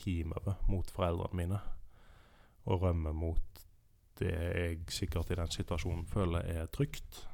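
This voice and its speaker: In a very clean recording with a silent background, a man speaks with a very deep, low pitch, a dark, mellow tone and fairly even intonation. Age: 30s. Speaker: podcast co-host living with anxiety. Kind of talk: casual chat.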